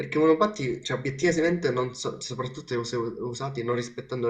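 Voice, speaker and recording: A man's medium pitch at a very fast pace, with hardly any pauses and ordinary pitch variation. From Sicily. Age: young. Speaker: blind monowheel rider. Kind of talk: interview. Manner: halting.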